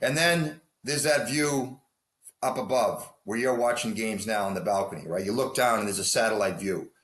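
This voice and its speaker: A man with a plain, everyday voice speaks at a medium pitch. His intonation is lively. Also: fairly quick pace. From US Northeast. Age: 60s. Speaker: hockey coach. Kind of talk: interview.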